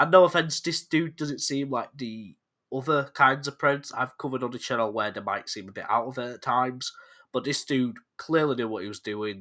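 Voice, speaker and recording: A man with a bright, sharp tone speaks at a medium pitch and a moderate pace, with ordinary pitch variation and big swings in loudness. The recording is very clean, with a silent background. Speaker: YouTuber, true crime commentator. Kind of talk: casual commentary video. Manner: casual, with fillers and self-corrections.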